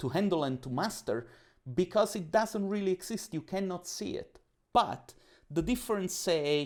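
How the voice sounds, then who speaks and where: In an Italian accent, a man speaks at a high pitch and moderate pace with lively intonation. The recording is very clean, its background silent. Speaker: podcast guest, coach. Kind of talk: casual interview chat. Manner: talkative.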